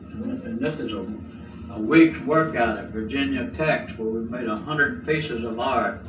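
Over music in the background, a man with an American accent talks at a fairly slow pace, his pitch in the medium range. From Southern United States. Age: 70s. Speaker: folk artist and preacher. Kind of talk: casual show-and-tell talk. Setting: home cassette recording. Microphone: old recording.

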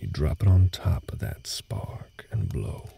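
A man whispers slowly in a put-on character voice. It has vocal fry and a husky, rough edge.

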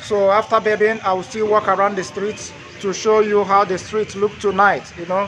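Over light background noise, a man speaks at a moderate pace in a raised, projected voice. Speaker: travel vlogger. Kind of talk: casual vlog chat. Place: street. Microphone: phone near.

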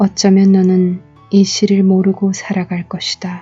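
Music plays behind a woman talking at a very slow pace. Her medium pitch stays monotone and flat. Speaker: poet reading her own poem. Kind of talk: poetry reading. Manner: soft, lullaby-like ASMR.

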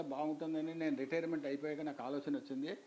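A man's voice with a dark, mellow tone. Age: 60s. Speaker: retired engineer and college lecturer. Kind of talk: interview answer. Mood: calm, reflective storytelling. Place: home room. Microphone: lapel.

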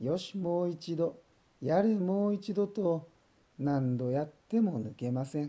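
A man speaks at a fairly slow pace in a high pitch, his tone dark, mellow, calm and gentle. His intonation is lively. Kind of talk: bedtime story reading for children. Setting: voice only. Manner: calm, gentle.

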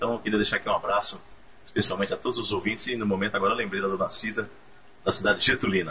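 A man with a fairly low pitch speaks at a very fast pace. Light background noise can be heard. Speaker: radio announcer, former radio host. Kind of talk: casual radio greeting message to former station and listeners. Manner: friendly, warm, nostalgic. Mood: warm, nostalgic, smiling. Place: studio. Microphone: camera far.

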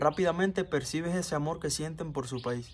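A man with a normal speaking voice talks at a fairly quick pace, his fairly high pitch following fairly even intonation over light background noise. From Cuba. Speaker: vlogger. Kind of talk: casual vlog monologue. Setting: outdoors in backyard. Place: garden. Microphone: phone near.

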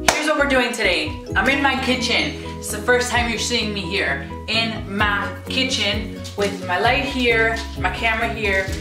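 A woman talks at a fairly slow pace over clear background music. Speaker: vlogger. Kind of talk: casual vlog chat. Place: kitchen. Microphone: camera far.

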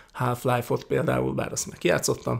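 Against a quiet background, a man keeps a moderate pace. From Hungary. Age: 40s. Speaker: YouTuber, political commentator. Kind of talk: casual Q&A monologue. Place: home room. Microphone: studio mic.

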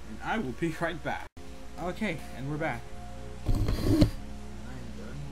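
Speech comes at a very slow pace over loud background noise. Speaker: gamer, let's play host. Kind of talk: casual gameplay commentary.

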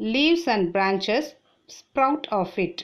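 A woman with a Tamil accent, fairly high-pitched, speaking at a very slow pace. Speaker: teacher. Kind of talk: reading aloud.

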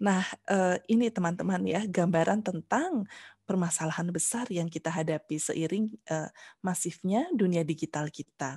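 Somewhat breathy and dark, mellow in tone, the voice moves at a moderate pace with ordinary pitch variation in a dry sound with no echo and a quiet background. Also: woman, fairly low pitch for a woman. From Central Java and Bandung, West Java; West Java, Indonesia. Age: 50s. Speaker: university lecturer. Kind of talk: lecture. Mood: warm, friendly. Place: home room. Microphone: headset.

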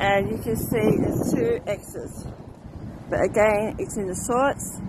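The speech is very slow, with noticeable background noise and a dry sound with no echo. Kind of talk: casual travel vlog narration. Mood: quiet, respectful. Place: street. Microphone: phone near.

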